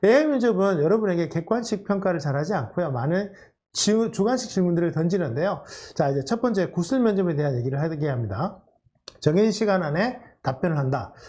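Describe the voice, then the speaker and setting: A man with a high pitch and a dark, mellow tone speaks at a fairly quick pace, his pitch swinging very widely. Audible echo fills the room. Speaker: career coach lecturer. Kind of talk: lecture. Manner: fast.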